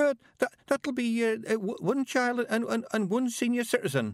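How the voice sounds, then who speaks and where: In a put-on character voice with an extremely high pitch, a man speaks very slowly in a shaky, timid tone, recorded with a dry, close sound and no echo. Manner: quavering, timid.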